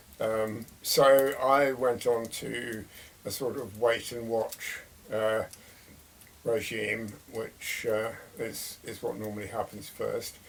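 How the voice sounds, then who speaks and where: A man with an English accent talks at a very slow pace. His medium pitch stays monotone, with flat intonation. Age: 80s+. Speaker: retired man sharing illness experience. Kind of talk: casual monologue. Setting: by a fireside. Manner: hesitant, many fillers.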